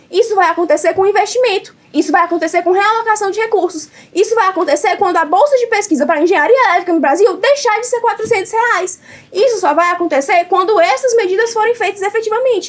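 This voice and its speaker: A woman talks at a fairly quick pace with an extremely high pitch. Her tone is animated and her intonation lively, with noticeable background noise. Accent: northeastern Brazilian. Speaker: debate competitor. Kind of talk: competitive debate speech. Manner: fast.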